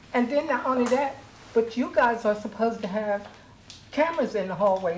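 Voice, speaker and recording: A woman with a high pitch speaks at a fairly quick pace, her pitch varying in ordinary ways. Noticeable background noise runs through the clip. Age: 70s. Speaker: public housing resident making a complaint. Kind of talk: public comment at a board meeting. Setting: public board meeting.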